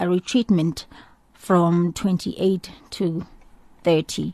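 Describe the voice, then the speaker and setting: Heard with a dry, close sound, no echo and a quiet background, a woman speaks in a dark, mellow tone. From South Africa, townships. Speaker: radio host. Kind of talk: radio show presenting. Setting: studio.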